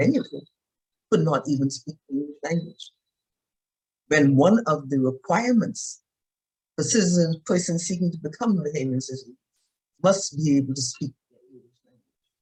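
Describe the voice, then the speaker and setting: With a dark, mellow, somewhat breathy tone, a woman at very deep, low pitch uses very wide pitch swings at a moderate pace. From Bahamas, Exuma. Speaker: retired judge and panelist. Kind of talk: panel discussion. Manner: formal.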